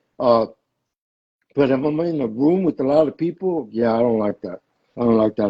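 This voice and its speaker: A man's dark, mellow tone moves with ordinary pitch variation. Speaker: stroke survivor. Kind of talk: casual chat. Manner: halting, repeats words.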